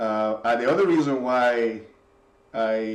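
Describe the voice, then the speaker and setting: A man with a Spanish accent speaks in fairly even intonation. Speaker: software developer. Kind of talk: casual reflective monologue. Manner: halting, many repetitions and fillers.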